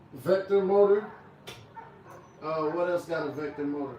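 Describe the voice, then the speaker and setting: Over noticeable background noise, a man speaks at a high pitch with fairly even intonation and a fairly quick pace. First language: not English. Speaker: barber and livestreamer. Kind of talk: livestream product review chat. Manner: stutters, repeats words; casual, conversational.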